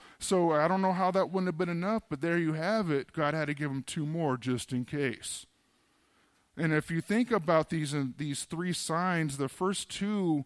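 The recording is very clean, with a silent background. A man with a normal speaking voice and a fairly high pitch talks at a moderate pace. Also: ordinary pitch variation. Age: 40s. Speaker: pastor. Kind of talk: sermon. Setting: church. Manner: casual, conversational.

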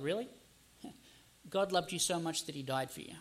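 The speaker has an Australian accent. The tone is bright and sharp. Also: man. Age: 30s. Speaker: pastor. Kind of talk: sermon.

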